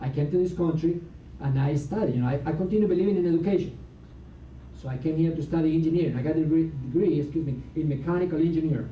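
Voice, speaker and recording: In a room with audible echo, a man speaks very fast at a fairly high pitch. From Latin America. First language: Spanish. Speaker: motivational speaker. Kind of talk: seminar talk. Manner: animated.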